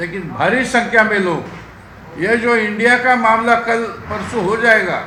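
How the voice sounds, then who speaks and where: A man raises and projects his high voice over noticeable background noise, with audible room echo. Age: 70s. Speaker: politician. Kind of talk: press conference.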